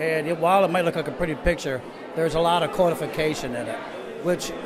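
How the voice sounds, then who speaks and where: Noticeable background noise accompanies a very fast talker in an American accent. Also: man. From US Northeast, Rochester, New York. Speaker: painter and photographer. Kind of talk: interview at gallery opening. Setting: art gallery opening. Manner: halting, many fillers. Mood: thoughtful, earnest. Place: hall. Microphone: handheld.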